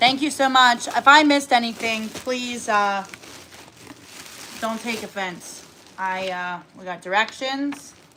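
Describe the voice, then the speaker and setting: Over noticeable background noise, a woman with a fairly high pitch and ordinary pitch variation speaks at a fairly slow pace, with big swings in loudness and long, frequent pauses. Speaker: cooking livestreamer. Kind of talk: casual livestream chat. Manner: animated.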